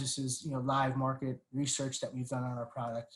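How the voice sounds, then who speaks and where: Here a man with a fairly high pitch talks at a fairly quick pace. His voice is somewhat breathy. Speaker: webinar panelist, packaging industry representative. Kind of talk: webinar presentation. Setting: online webinar. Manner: fast; many fillers and repetitions.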